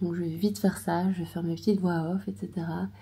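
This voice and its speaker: Somewhat breathy and dark, mellow in tone, a woman speaks at a moderate pace with fairly even intonation. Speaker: watercolour artist and vlogger. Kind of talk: casual vlog talk. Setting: hotel room.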